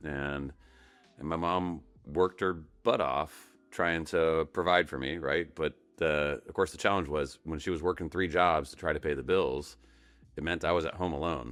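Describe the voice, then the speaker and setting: Vocal fry marks a voice with an American accent at a moderate pace on a very clean recording with a silent background. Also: man, very deep, low pitch for a man, fairly even intonation. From Colorado, US. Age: 50s. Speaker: tech company founder and CEO. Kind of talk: podcast interview. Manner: halting, many repeated words.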